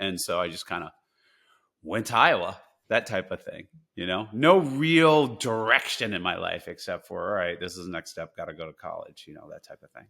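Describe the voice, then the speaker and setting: A man with an American accent at a moderate pace, with big swings in loudness, on a very clean recording with a silent background. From New Jersey. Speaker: poker player and investor. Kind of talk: interview conversation. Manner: repetitive, hesitant starts.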